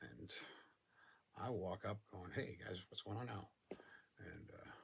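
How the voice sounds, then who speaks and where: A man with an American accent talks in a fairly low, somewhat breathy voice. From Northern California. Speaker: storyteller. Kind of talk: casual monologue.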